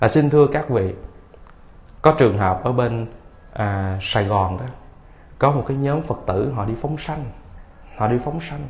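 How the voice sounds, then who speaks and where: A man speaks at a fairly slow pace with long, frequent pauses, sounding somewhat breathy and using ordinary pitch variation. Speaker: Buddhist monk giving a Dharma talk. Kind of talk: sermon, Dharma lecture. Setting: temple hall with audience. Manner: humorous, jokes with audience. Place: hall. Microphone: podium.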